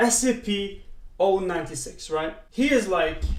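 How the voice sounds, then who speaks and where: Someone with a non-native accent speaks over noticeable background noise. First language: not English. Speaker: reaction streamer. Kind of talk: casual reaction commentary. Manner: halting.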